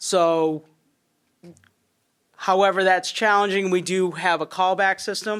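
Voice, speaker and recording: Her medium-pitched voice stays monotone and flat. The woman talks at a fairly slow pace with long, frequent pauses. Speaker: fire chief. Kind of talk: public meeting testimony. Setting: town finance committee meeting. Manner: loud.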